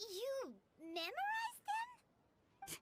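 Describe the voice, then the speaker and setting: A woman's squeaky, put-on character voice, extremely high in pitch, with lively intonation. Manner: surprised.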